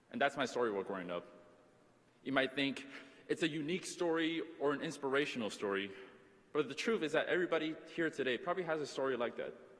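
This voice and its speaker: Talking at a very fast pace with an American accent, a man with a fairly high pitch uses lively intonation and vocal fry, broken up by long, frequent pauses. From Taiwan, then US. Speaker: student commencement speaker. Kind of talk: commencement speech.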